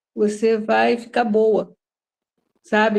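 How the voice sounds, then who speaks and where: Her voice pitched fairly high, the woman talks rather slowly. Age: 60s. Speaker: study group participant. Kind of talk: testimony. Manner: halting.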